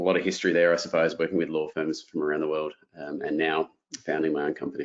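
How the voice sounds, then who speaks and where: With an Australian accent, a man speaks at a very fast pace and a very deep, low pitch. His intonation is fairly even, and the background is quiet. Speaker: software company founder. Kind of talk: webinar presentation. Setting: online webinar. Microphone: video call.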